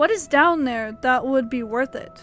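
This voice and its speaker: A woman uses a put-on character voice at a moderate pace. Clear music plays in the background. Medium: read story. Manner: terse, businesslike.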